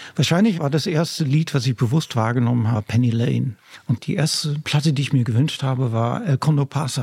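The sound is dry and close, with no echo. A man talks at a fairly quick pace in a somewhat breathy voice. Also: medium pitch for a man, ordinary pitch variation. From Netherlands, coastal region. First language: Dutch (speaking German). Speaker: singer-songwriter and music professor. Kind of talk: interview. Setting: office.

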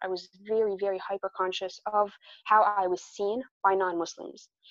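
Here is a woman with an ordinary speaking voice. She keeps a medium pitch and a moderate pace. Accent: American. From US, New Jersey. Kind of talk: interview.

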